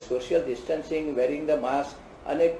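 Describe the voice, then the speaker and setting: Noticeable background noise is present throughout. Over it, a man speaks at a moderate pace. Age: 80s+. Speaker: cardiologist. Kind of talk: interview answer.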